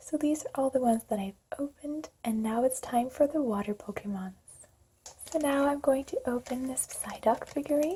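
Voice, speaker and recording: A soft-spoken woman whispers at a fairly quick pace. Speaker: music therapist. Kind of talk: ASMR unboxing. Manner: whispered, soft-spoken.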